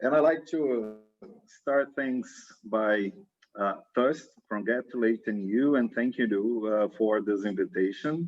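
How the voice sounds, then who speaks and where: A man with a strong Brazilian accent, very slow, with ordinary pitch variation and very even loudness. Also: medium pitch for a man. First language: Portuguese. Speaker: science diplomacy researcher, former government science manager. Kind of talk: interview.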